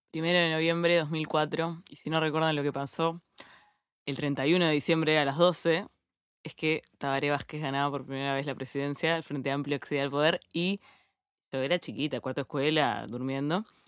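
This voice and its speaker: A woman speaks at a moderate pace in a very deep, low pitch, with fairly even intonation. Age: 30s. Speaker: journalist. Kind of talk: casual chat.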